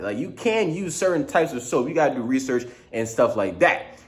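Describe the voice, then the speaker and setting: In a room with audible echo, a man talks at a fairly quick pace. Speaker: vlogger. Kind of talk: casual vlog monologue. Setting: studio. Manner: fast; slurred at times.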